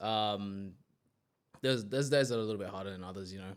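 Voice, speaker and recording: Speaking with an Australian accent, a man uses a fairly low pitch and ordinary pitch variation. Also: very clean recording, silent background. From Australia, Sydney western suburbs. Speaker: gym manager. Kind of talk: casual interview chat. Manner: calm, quiet.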